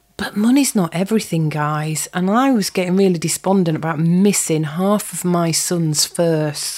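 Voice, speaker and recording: Her pitch fairly low and her tone dark and mellow, a woman reads at a fairly slow pace with ordinary pitch variation. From Yorkshire, northern England. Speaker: podcast host, property and business coach. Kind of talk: scripted podcast introduction.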